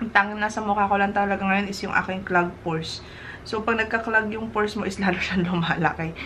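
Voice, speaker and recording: Over noticeable background noise, a woman talks at a very fast pace. Her medium-pitched voice is monotone, with flat intonation. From Philippines. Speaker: skincare vlogger. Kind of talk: product review. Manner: casual, chatty.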